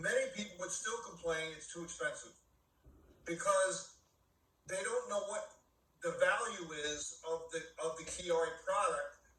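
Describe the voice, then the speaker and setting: A man talks fairly slowly, with long, frequent pauses, amid noticeable background noise and audible room echo. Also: big swings in loudness. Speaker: network marketing leader. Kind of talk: business training talk.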